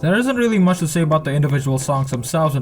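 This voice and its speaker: A man is speaking. Music plays in the background. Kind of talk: commentary voiceover.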